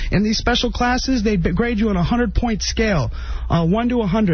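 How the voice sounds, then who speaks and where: Noticeable background noise under speech delivered at a very fast pace. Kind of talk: solo radio monologue. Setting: radio studio. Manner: rambling, mumbling; halting.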